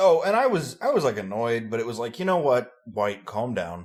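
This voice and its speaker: A man talks in a normal speaking voice, medium in pitch. His intonation is lively and his pace is moderate. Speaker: podcast co-host.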